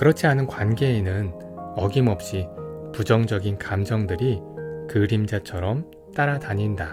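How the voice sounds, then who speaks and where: Over background music, a man with a fairly low pitch speaks at a fairly slow pace in a calm tone, his intonation lively and broken by long, frequent pauses. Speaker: audiobook narrator. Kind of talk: audiobook reading. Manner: calm, soft-spoken.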